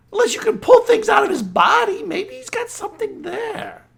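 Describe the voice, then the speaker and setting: A man uses a cartoonish character voice at an extremely high pitch, speaking at a moderate pace. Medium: puppet show. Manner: nervous, reluctant.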